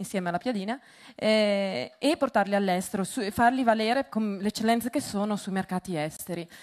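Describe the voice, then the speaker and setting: A woman with a Venetian accent, medium in pitch, fairly quick in pace, with ordinary pitch variation. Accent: Venetian Italian. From Veneto, northern Italy. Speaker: entrepreneur, business founder. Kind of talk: conference talk. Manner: hesitant, many fillers.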